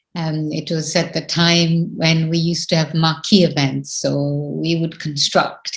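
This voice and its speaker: With an Indian accent, a woman speaks at a fairly slow pace in a fairly low, somewhat breathy voice with fairly even intonation. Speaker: spiritual teacher. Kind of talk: spiritual talk.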